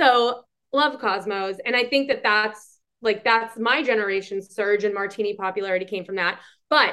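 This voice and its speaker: Talking at a moderate pace with a Boston accent, a woman has a fairly high pitch and ordinary pitch variation. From Boston, Massachusetts. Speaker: podcast co-host, hospitality industry. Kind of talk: casual chat. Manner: animated.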